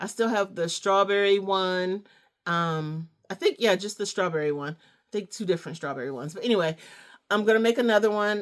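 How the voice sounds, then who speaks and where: A woman talks at a fairly quick pace and medium pitch with ordinary pitch variation in a very clean recording with a silent background. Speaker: crochet maker and small business owner. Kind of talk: casual craft show-and-tell vlog. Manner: hesitant fillers (um, uh).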